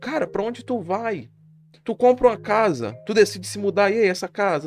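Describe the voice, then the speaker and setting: The man speaks at a high pitch. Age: 20s. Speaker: podcaster and streamer. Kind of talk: casual monologue. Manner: casual, slangy.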